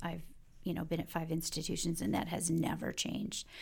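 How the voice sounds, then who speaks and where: A woman with an American accent speaks at a fairly low pitch with vocal fry. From Detroit, Michigan. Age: 50s. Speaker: university enrollment executive. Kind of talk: interview.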